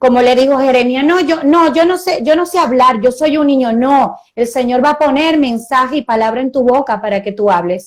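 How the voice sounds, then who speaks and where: Her voice high, a woman speaks at a moderate pace with ordinary pitch variation and hardly any pauses. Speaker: pastor. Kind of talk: sermon.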